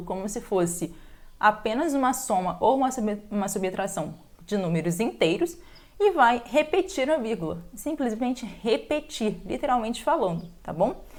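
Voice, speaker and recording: In a very clean recording with a silent background, a woman talks at a moderate pace, her pitch swinging very widely. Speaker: math teacher. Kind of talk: tutorial.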